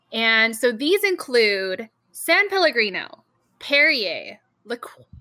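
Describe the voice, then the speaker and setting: The speaker has a Canadian accent and a bright, sharp tone. The pace is very slow. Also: woman. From Canada. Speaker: podcast host and game moderator. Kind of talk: game show hosting.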